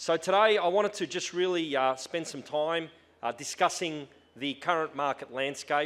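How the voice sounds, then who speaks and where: Here a man speaks with an Australian accent. His pace is moderate and his pitch variation ordinary. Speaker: tech company executive. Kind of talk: conference talk. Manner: hesitant, many fillers.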